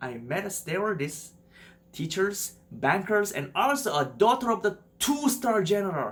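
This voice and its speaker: A man with a Korean accent, high-pitched, fairly slow, and with very wide pitch swings. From South Korea. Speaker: YouTuber. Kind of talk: personal story narration.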